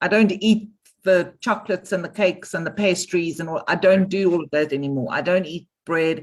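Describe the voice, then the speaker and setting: A woman's unremarkable speaking voice, fairly low in pitch, at a moderate pace with ordinary pitch variation. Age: 60s. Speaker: webinar participant. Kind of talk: casual chat. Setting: video call.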